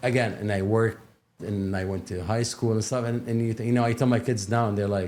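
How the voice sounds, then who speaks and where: A man at a very fast pace, his intonation fairly even. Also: medium pitch for a man. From Kuwait. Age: 50s. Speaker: podcast guest. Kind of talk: casual chat. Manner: halting.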